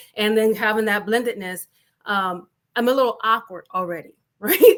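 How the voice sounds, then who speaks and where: A woman with a slight Southern US accent speaks with a fairly high pitch and ordinary pitch variation. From US South. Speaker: panelist, business leader. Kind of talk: panel discussion. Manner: fast.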